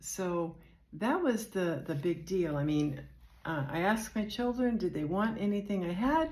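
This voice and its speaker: With lively intonation and medium pitch, a woman speaks in an American accent amid audible room echo. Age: 70s. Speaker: retiree vlogger. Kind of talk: casual personal vlog. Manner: hesitant, unpolished.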